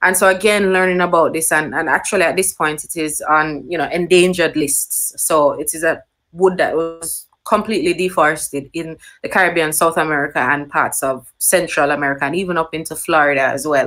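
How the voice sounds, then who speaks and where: In a Jamaican accent, a woman with a fairly low pitch talks at a fairly quick pace with hardly any pauses and fairly even intonation, on a very clean recording with a silent background. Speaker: nature writer. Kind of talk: panel talk. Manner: hesitant, many fillers.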